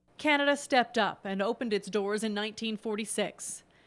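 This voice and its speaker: Heard on a very clean recording with a silent background, a woman with a plain, everyday voice talks at a moderate pace, fairly high in pitch, with ordinary pitch variation. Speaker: news reporter. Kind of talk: TV news narration.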